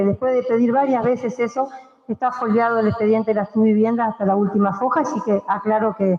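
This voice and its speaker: Spoken at a very fast pace with fairly even intonation, the voice sits over noticeable background noise. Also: woman. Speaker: city councillor. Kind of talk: council debate speech.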